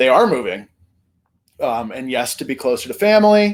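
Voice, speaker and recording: This man's pitch moves up and down very widely. He talks fairly slowly. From Vermont. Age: 30s. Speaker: YouTube commentary host. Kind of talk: casual commentary monologue. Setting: talking to camera.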